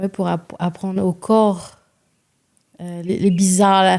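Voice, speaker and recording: A woman's dark, mellow voice, monotone and flat, at a very slow pace. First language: Réunion Creole (speaking French). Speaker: singer-songwriter. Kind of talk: podcast interview. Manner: halting.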